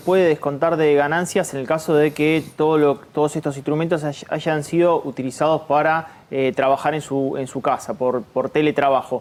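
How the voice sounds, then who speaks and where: A man's normal speaking voice, fairly high in pitch, at a moderate pace with hardly any pauses and ordinary pitch variation. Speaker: economic analyst. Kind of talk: TV panel discussion.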